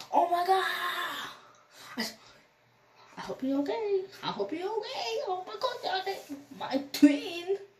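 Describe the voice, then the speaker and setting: In a put-on character voice, a woman talks very slowly at an extremely high pitch, with very wide pitch swings, long, frequent pauses, audible echo and light background noise. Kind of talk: casual storytime vlog chat.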